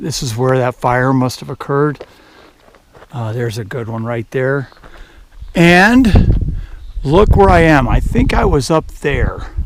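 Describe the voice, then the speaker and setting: Speaking with an American accent at a fairly slow pace, a man is heard over noticeable background noise. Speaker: hiker vlogger. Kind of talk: casual vlog narration. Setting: outdoors on a mountain trail. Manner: conversational, hesitant fillers.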